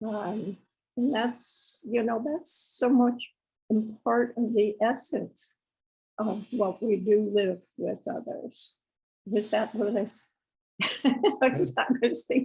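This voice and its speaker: A woman's fairly high, somewhat breathy voice with a dark, mellow tone, ordinary pitch variation, a very slow pace and long, frequent pauses. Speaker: person living with Alzheimer's. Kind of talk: interview. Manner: halting, many pauses and fillers.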